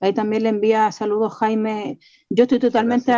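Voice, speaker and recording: A woman with a dark, mellow tone and a fairly high pitch is heard dry and close, without echo, against a quiet background. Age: 40s. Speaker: community leader and radio host. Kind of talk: radio interview.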